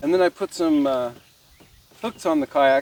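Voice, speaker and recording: Over noticeable background noise, the speaker talks in an American accent at a moderate pace. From Nevada. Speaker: vlogger. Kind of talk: casual vlog narration. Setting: outdoors on a kayak.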